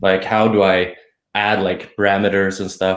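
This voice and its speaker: A man with a fairly low pitch speaks in a Swedish accent. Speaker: blogger. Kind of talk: casual chat.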